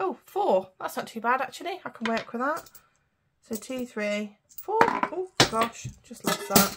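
A woman with a British accent speaks at a high pitch and a fairly slow pace, with very wide pitch swings and big swings in loudness, over noticeable background noise. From UK. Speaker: budgeting vlogger. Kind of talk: casual vlog tutorial. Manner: chatty, talking while counting. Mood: cheerful, pleased. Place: home room. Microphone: phone near.

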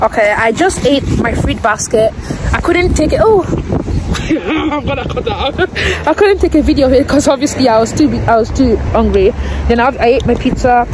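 A woman speaks at a high pitch, with crowd noise in the background. The sound itself is dry, with no echo. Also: moderate pace. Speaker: vlogger. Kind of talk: casual vlog chat. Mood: amused, laughing. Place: street. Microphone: phone near.

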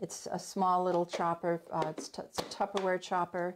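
Light background noise sits behind the recording. A woman talks at a moderate pace. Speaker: home cooking instructor. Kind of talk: tutorial. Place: kitchen.

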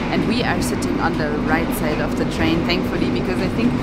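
A woman talks at a very fast pace. The sound is dry with no echo, and loud background noise runs underneath. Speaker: travel vlogger. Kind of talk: casual vlog chat. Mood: excited and cheerful. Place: train. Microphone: phone near.

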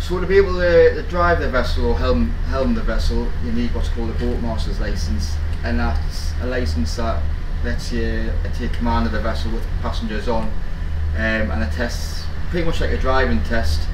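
Noticeable background noise runs under a man's moderately paced speech. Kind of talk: interview answer. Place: boat.

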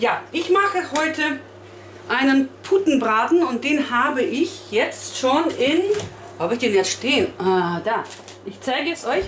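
A woman's high-pitched voice at a fairly slow pace, with audible room echo and light background noise. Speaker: home cook vlogger. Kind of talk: casual vlog chat. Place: kitchen. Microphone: camera far.

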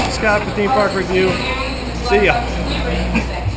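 A man speaks over loud background noise. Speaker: theme park reviewer. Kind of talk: casual ride commentary. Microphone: phone near.

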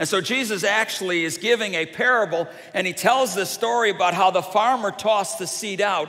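Lively intonation marks this man's speech. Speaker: preacher. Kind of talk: sermon. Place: church. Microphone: headset.

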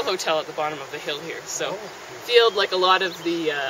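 At a moderate pace, the voice sounds dry with no echo, over noticeable background noise. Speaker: park hike guide. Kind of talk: guided tour commentary. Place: forest. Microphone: camera far.

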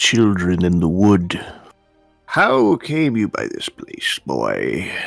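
A man's fairly low voice at a very slow pace, with faint music in the background. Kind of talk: archaic speech.

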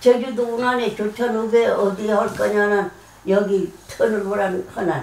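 Fairly even in intonation and fairly slow in pace, the voice carries audible room echo. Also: woman, fairly high pitch for a woman. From Jeju, Korea. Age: 80s+. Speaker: grandmother. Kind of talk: casual family conversation. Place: home room. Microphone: camera far.

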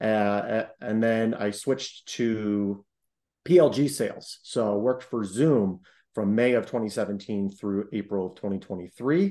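A man's fairly low, dark, mellow voice at a fairly slow pace with ordinary pitch variation

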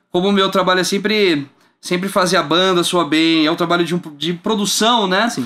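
A man speaks in a high, raised, projected voice with a bright, sharp tone. He moves at a fairly quick pace with ordinary pitch variation. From Brazil. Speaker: bass player and music entrepreneur; guest. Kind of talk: casual interview. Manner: halting with repeated words. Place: studio. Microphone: studio mic.

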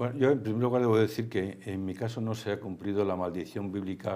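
A man talks at a very fast pace in a dark, mellow tone. His fairly low pitch has ordinary pitch variation. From Spain. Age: 70s. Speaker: theme park executive; guest. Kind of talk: interview. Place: studio. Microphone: lapel.

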